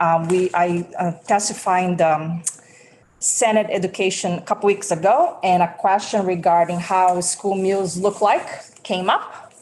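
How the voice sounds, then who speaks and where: A woman with a Brazilian Portuguese accent speaks at a fairly slow pace. Noticeable background noise runs beneath her. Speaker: school food service director. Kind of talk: legislative testimony. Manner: halting, many fillers.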